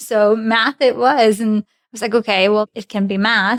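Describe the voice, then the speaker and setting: At a moderate pace, a woman with a Russian accent speaks at a medium pitch with fairly even intonation, the sound dry and close with no echo. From Belarus, near Polish and Lithuanian border. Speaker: commercial manager. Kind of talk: interview podcast chat. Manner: conversational.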